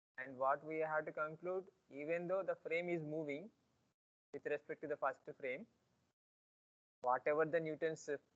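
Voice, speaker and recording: In a dry, close sound with no echo, a man talks at a moderate pace with a fairly high pitch and fairly even intonation. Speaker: physics teacher. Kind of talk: lecture.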